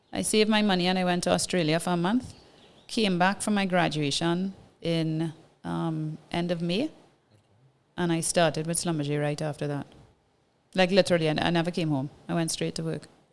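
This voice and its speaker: A woman's fairly low voice in a Trinidadian accent, fairly quick yet with long, frequent pauses, and fairly even intonation. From Trinidad and Tobago. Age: 40s. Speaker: businesswoman, former oil and gas engineer. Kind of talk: casual interview storytelling.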